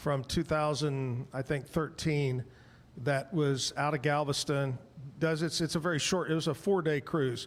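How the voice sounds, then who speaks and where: A man at a moderate pace, fairly even intonation, an ordinary speaking voice. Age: 60s. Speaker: talk show host. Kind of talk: casual chat. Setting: live show at a bar venue.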